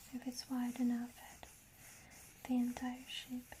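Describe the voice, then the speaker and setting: The speaker is soft-spoken. The intonation is monotone and flat. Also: woman. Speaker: ASMR creator. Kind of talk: ASMR show and tell book presentation.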